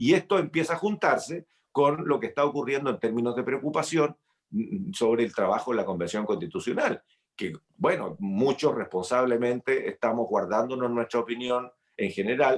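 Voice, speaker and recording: An unremarkable speaking voice carries lively intonation at a moderate pace. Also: man, medium pitch for a man. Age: 60s. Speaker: senator. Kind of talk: interview.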